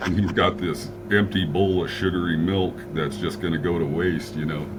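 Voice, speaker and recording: A man with a very deep, low pitch talks at a moderate pace, his pitch swinging very widely. Noticeable background noise and audible room echo fill the recording. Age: 60s. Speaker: fitness client. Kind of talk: casual chat. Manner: halting.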